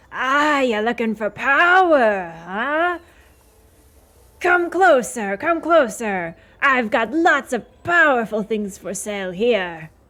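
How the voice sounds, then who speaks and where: Putting on a raspy character voice, a woman speaks very slowly at a high pitch with very wide pitch swings. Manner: coaxing.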